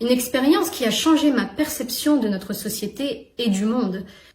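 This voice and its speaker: A woman speaks in a high voice at a fairly slow pace. The room echo is audible. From northern France. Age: young. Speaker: YouTuber. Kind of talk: personal vlog monologue.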